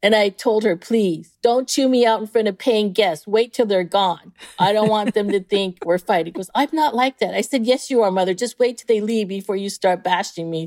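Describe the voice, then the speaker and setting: An ordinary speaking voice from a woman with an American accent, medium in pitch and at a moderate pace with hardly any pauses. Her pitch varies in the usual way, and the sound is dry and close with no echo. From San Diego, California. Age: 50s. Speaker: cooking school owner. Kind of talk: interview.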